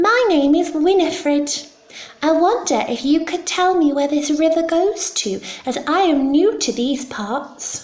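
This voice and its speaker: Using a put-on character voice, a woman speaks at an extremely high pitch and a fairly slow pace. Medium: read story. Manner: polite, soft.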